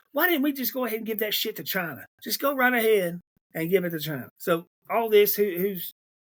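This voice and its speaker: A man with an American accent, high-pitched and fairly quick, with lively intonation. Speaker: political podcaster. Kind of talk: political commentary monologue. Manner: halting; animated.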